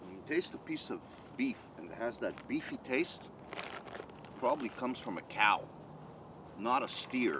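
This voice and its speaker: A man's voice with long, frequent pauses and big swings in loudness, over noticeable background noise. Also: moderate pace. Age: 60s. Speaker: bushcraft YouTuber, retired food industry worker. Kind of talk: product review. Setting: filmed on camera. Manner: casual, with many fillers.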